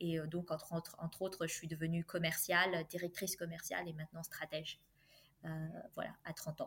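Speaking at a moderate pace, a woman with a fairly low pitch keeps a monotone, flat intonation. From France. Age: 30s. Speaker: engineer and career coach. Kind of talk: interview.

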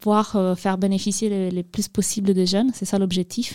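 Over a silent background in a very clean recording, a woman speaks at a moderate pace with a medium pitch and a dark, mellow tone. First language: not French (speaking French). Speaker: youth outreach coordinator at association. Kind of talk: studio interview, informative explanation.

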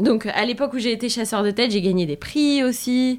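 A woman's unremarkable speaking voice at a fairly slow pace, with ordinary pitch variation, on a very clean recording over a silent background. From France. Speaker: sales entrepreneur. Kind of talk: interview.

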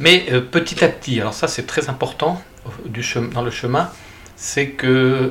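Fairly slow male speech, medium in pitch, with ordinary pitch variation. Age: 60s. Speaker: pilgrim and author. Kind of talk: interview. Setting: at his home. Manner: halting.

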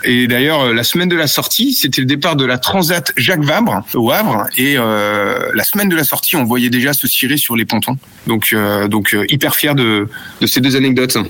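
Noticeable background noise sits under a voice with lively intonation, a moderate pace and very even loudness. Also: man, medium pitch for a man. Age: 40s. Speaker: product manager for sailing clothing. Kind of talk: interview. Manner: hesitant, many fillers.

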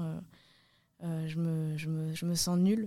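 A woman's fairly low voice on a very clean recording with a silent background. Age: 20s. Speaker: parkour and freerunning athlete. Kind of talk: casual interview. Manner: hesitant, with repetitions.

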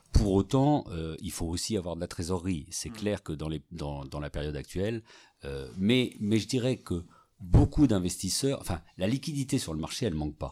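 Music plays in the background as a man talks at a moderate pace. His voice is very deep and low, with lively intonation. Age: 50s. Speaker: real estate executive. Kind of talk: interview. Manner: halting, many repetitions and fillers.

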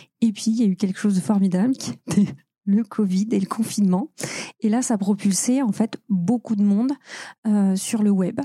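Somewhat breathy and dark, mellow in tone, a woman's medium-pitched voice moves at a moderate pace with ordinary pitch variation in a dry, close sound with no echo. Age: 40s. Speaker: UX consultant. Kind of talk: interview.

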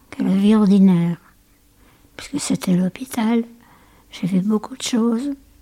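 Over noticeable background noise, a woman speaks fairly slowly with lively intonation and a fairly high pitch. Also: long, frequent pauses. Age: 80s+. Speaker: great-grandmother and war-era witness. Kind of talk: casual family interview.

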